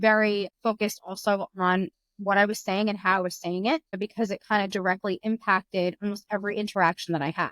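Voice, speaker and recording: Dry and close with no echo, the recording holds a woman at a medium pitch. Her intonation is fairly even and her pace fairly quick. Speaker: pest control customer service executive. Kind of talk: podcast interview. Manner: fast.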